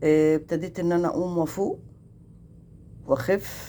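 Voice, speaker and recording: A woman speaks at a fairly slow pace in a dark, mellow tone. Her pitch is fairly low and her intonation fairly even. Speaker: vlogger. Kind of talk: casual vlog chat.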